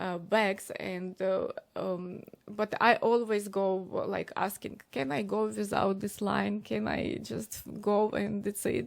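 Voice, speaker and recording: A woman speaks at a very slow pace with a Ukrainian accent. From Ukraine. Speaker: DJ and streamer. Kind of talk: interview. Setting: live stream interview. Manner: halting, many fillers.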